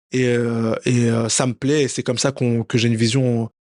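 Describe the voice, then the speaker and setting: A man's voice comes through dry and close with no echo. The background is quiet. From France, Paris. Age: 30s. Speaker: professional boxer. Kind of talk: interview. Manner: hesitant, many fillers and repetitions.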